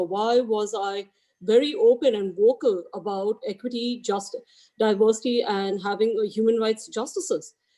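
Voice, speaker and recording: A woman's fairly high voice with a dark, mellow tone, an Indian accent, ordinary pitch variation and a moderate pace. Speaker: real estate agent, equity ambassador. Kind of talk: team meeting speech. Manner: halting.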